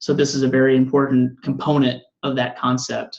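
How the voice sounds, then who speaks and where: Moderate pace in a Southern US accent. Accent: Southern US, self-described. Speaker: coding bootcamp instructor. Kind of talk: lecture. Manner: casual, with fillers.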